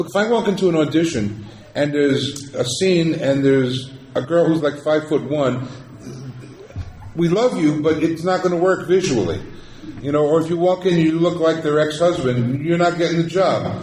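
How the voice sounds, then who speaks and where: With noticeable background noise and audible room echo, a man talks at a moderate pace in a fairly high voice with ordinary pitch variation. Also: very even loudness. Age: 60s. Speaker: actor. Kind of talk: convention panel Q&A. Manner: animated.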